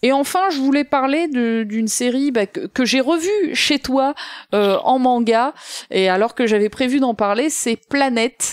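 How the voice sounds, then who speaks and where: A woman's voice swings very widely in pitch, recorded with a dry, close sound with no echo and very clean, with a silent background. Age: 30s. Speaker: guest co-host. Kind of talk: casual chat. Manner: animated.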